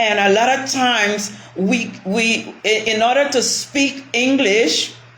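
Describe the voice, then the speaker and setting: Amid noticeable background noise and audible room echo, a woman speaks at a very slow pace. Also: fairly high pitch for a woman, ordinary pitch variation. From Panama, West Indian-descended family. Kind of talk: casual chat.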